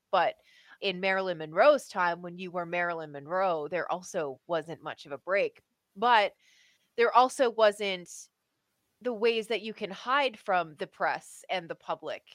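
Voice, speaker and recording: A woman speaks at a medium pitch and a fairly slow pace in a normal speaking voice. Her loudness swings widely, and the sound is dry and close with no echo. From Canada. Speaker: podcast co-host and tabletop game master. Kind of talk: casual chat.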